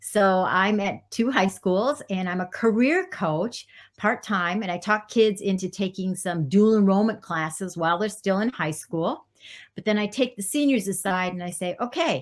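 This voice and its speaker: A woman speaks at a moderate pace and medium pitch in a plain, everyday voice. The recording is very clean, with a silent background. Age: 60s. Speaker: career counselor. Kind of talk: podcast interview.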